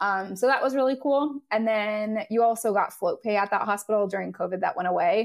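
A woman talks with a Californian accent and ordinary pitch variation. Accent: General American (Californian). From Southern California. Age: 30s. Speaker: nurse. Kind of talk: interview.

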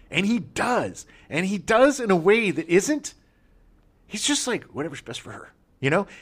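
Speaking with an American accent, a man uses a high pitch, very wide pitch swings, big swings in loudness and an animated tone. He leaves long, frequent pauses, and the recording is very clean with a silent background. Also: moderate pace. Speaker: podcast host. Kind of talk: casual chat.

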